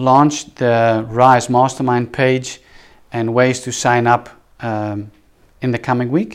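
With a Dutch accent and a medium pitch, a man speaks at a very slow pace on a very clean recording with a silent background. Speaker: podcast host, business coach, former pastor. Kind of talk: solo monologue podcast. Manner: hesitant, many filler words.

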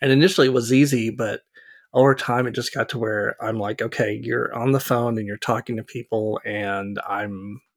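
A man with an unremarkable speaking voice talks at a fairly quick pace and medium pitch, his intonation fairly even, in a dry, close sound with no echo. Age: 50s. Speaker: architect, podcast co-host. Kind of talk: casual chat.

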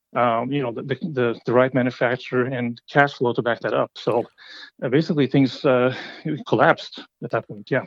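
Intonation stays fairly even as the words come at a fairly quick clip. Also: man. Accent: Norwegian. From Norway. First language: Norwegian. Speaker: company CEO, entrepreneur. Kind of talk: interview.

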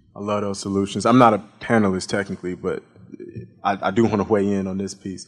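Speaking very fast with an American accent, a man keeps a fairly low pitch and flat, monotone intonation. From US, Chicago. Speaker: podcast host and moderator. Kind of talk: panel moderation. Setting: stage with audience.

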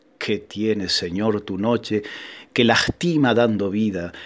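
A man talks at a fairly slow pace. His tone is solemn. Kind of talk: sermon in verse, a rhymed Holy Thursday proclamation delivered as a sacred poem. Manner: intensely devout, vehement, addressing the Lord and the moon directly.

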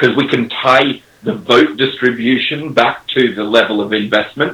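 Speaking with an Australian accent, a man keeps his intonation fairly even. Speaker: crypto startup executive. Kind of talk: casual chat.

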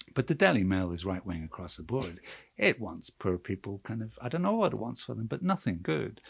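Fairly low in pitch and somewhat breathy, a man talks at a fairly quick pace. His intonation is lively. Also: dry, close sound with no echo, quiet background. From Northern Ireland, Belfast. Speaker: cartoonist magazine staff writer. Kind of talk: casual chat.

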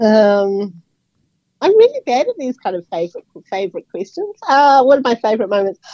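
A high-pitched woman with a New Zealand accent, talking at a fairly quick pace. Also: lively intonation. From New Zealand, Auckland. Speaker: architectural editor and writer. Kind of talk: radio interview. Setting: radio studio.

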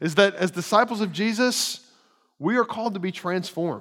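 A man with a high voice speaks at a fairly quick clip, his pitch rising and falling in an ordinary way. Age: 30s. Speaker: pastor. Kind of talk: sermon. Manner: halting, frequent repetitions.

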